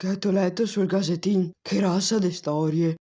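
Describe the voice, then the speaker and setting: A raspy, put-on character voice at a middle pitch moves along at a moderate pace. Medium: fan dub. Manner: calm, fatalistic.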